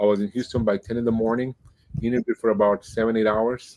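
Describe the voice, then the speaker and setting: A man talks at a very fast pace in a Spanish accent. The sound is dry and close with no echo. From Mexico-US border, Nogales and Tucson. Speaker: Spanish-language baseball radio broadcaster. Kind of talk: podcast interview.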